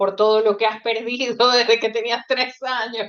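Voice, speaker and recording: Here is a woman with an unremarkable speaking voice. Her pitch is fairly high and her intonation fairly even. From Ecuador. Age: 40s. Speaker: author. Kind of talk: casual chat.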